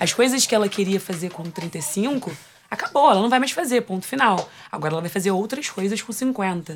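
A woman's plain, everyday voice at a medium pitch, moderate pace and lively intonation. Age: 20s. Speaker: podcast host. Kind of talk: casual chat.

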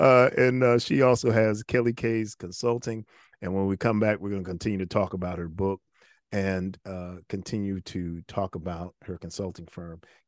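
A man talks at a moderate pace with fairly even intonation, in an unremarkable speaking voice. The sound is dry and close with no echo, over a quiet background. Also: fairly low pitch for a man. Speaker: podcast host. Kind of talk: interview conversation. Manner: warm, repetitive, faith-oriented.

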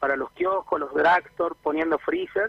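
This is a man speaking. He has a Buenos Aires accent. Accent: sounds like a Buenos Aires speaker. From northern Argentina (Jujuy). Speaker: franchise owner. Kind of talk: radio interview.

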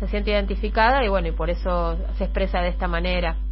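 Very deep, low-pitched woman's voice with monotone, flat intonation, audible room echo and noticeable background noise. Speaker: radio host. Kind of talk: radio interview.

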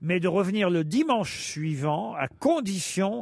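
A man speaks in a high pitch with lively intonation. The recording is very clean, with a silent background. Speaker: radio game show host. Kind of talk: comedy panel show. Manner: animated.

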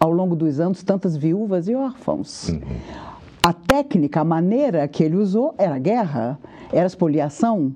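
A woman talks at a moderate pace with lively intonation and a fairly low pitch. Noticeable background noise runs underneath. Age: 50s. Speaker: spiritist lecturer. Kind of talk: live studio interview on religion. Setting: TV studio.

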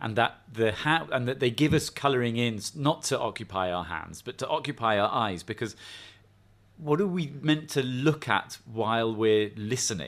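The recording is very clean with a silent background. A man speaks at medium pitch and a moderate pace, with lively intonation. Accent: English. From England. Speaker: professor. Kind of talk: casual chat.

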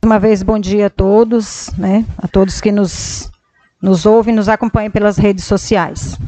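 A woman speaks at a fairly slow pace in a medium pitch. Her intonation is monotone and flat. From Brazil, Pará (Medicilândia). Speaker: city councillor, first secretary. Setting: council chamber.

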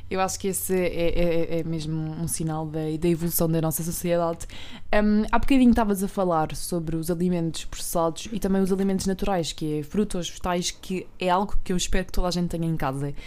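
Fairly low for a woman and dark, mellow in tone, her voice moves at a fairly quick pace with fairly even intonation and hardly any pauses. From Portugal, Alentejo. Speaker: podcast co-host. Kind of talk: casual interview. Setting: studio.

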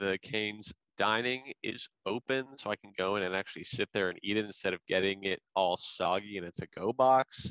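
The sound is dry and close, with no echo, as a man speaks at a fairly low pitch in a normal speaking voice. He keeps a moderate pace with hardly any pauses and fairly even intonation. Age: 20s. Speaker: podcast co-host. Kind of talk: casual chat.

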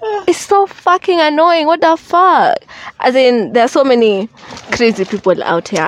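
With very wide pitch swings, a woman speaks at a fairly slow pace amid noticeable background noise. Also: dry, close sound with no echo. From Kenya. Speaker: podcast host. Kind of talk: casual chat.

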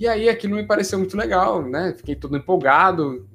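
A man with a high pitch talks at a fairly quick pace, showing ordinary pitch variation. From Brazil, Santos (São Paulo state). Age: 20s. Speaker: career YouTuber, account manager. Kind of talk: monologue to camera, personal career story. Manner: casual, many fillers (né, é).

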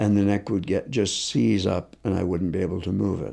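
A man speaks with vocal fry in a very deep, low voice that has a dark, mellow tone. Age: 60s. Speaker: concussion expert and physiotherapist. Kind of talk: interview.

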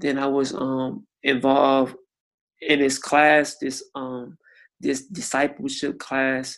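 Pitched fairly high, a man speaks with monotone, flat intonation. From Miami, Florida. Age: 30s. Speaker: churchgoer sharing faith testimony. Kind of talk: testimony.

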